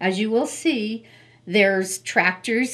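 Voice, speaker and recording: Very slow delivery with ordinary pitch variation. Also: woman. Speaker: hobbyist's wife. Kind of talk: interview.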